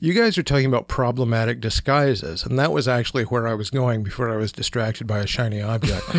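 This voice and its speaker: A man at a very fast pace, with hardly any pauses and ordinary pitch variation. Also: medium pitch for a man. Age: 50s. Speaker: pop culture writer. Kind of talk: casual chat.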